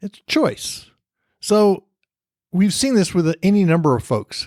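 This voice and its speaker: A man with an American accent speaks at a moderate pace and a high pitch. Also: very clean recording, silent background. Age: 60s. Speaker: podcast host. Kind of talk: casual monologue.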